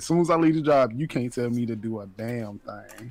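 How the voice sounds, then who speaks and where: Medium pitch, ordinary pitch variation and a moderate pace in a man's unremarkable speaking voice. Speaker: podcast co-host. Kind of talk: casual chat.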